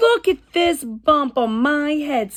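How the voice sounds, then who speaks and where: A woman performs a put-on character voice. She pitches it high. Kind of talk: bedtime story. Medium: read story. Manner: fretful, insistent.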